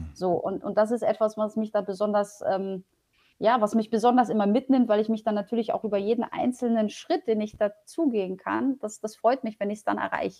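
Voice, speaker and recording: A woman speaks at a fairly quick pace with a fairly high pitch. Her tone is dark and mellow, with ordinary pitch variation. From Poland, raised in Germany (Paderborn area). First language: Polish (speaking German). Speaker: public transport executive. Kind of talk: interview.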